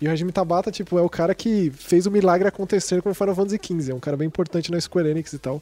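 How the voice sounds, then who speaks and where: A man talks at a very fast pace with hardly any pauses, a high pitch, a dark, mellow tone and fairly even intonation. The sound is dry and close, with no echo. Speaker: video game journalist. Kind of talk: casual chat.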